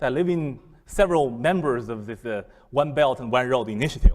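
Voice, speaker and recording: A man speaks with a Chinese accent. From China. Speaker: business school professor. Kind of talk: lecture. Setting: seminar room with audience. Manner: halting, many fillers and repetitions.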